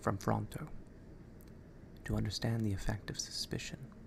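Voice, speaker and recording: Whispering at a moderate pace, a man talks. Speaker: ASMR creator. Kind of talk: ASMR book reading. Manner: soft-spoken.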